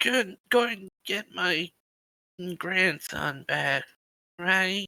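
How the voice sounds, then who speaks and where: Using a put-on character voice, a man speaks raspy and high-pitched. His pace is very slow. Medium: actual play. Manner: anxious, fretting.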